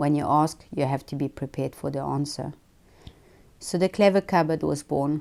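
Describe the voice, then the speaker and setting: A woman's very deep, low voice with vocal fry, a dark, mellow tone, fairly even intonation and a moderate pace. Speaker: founder of a children's book charity. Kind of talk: presentation speech read aloud. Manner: monotonous.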